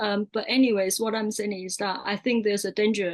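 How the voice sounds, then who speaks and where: A woman with a Mandarin accent talks at medium pitch, and the sound is dry and close with no echo. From Taiwan. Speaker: artist filmmaker and lecturer. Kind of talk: panel discussion.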